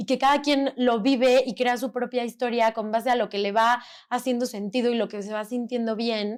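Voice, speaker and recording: This woman's voice is high. She talks at a moderate pace. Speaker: podcast host. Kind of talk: casual chat. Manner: loud; animated.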